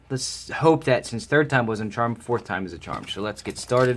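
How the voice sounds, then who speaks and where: Noticeable noise sits behind a man talking at a moderate pace. His medium-pitched voice shows ordinary pitch variation. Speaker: card game unboxing host. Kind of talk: casual talk to camera.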